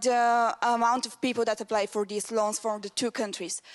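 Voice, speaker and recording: A woman with a Bulgarian accent speaks at a high pitch. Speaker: student audience member. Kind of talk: audience question.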